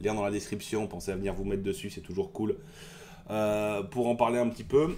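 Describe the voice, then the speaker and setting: This man speaks at a very fast pace. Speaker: tabletop wargaming youtuber. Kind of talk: casual video commentary. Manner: hesitant, many fillers.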